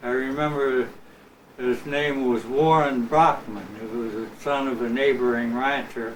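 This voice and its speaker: Audible room echo surrounds a man's voice. He speaks at a fairly slow pace with fairly even intonation. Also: medium pitch for a man. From Imperial Valley, Southern California. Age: 70s. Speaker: retired musician. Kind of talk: interview. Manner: halting, many fillers.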